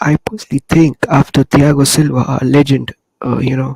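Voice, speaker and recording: A soft-spoken man at a moderate pace, fairly high in pitch, with a dry, close sound and no echo. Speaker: football fan podcaster. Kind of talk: casual chat. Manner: soft-spoken, lowered voice.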